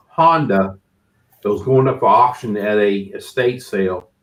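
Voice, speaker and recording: Very wide pitch swings at a moderate pace. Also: man. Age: 60s. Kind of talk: casual chat.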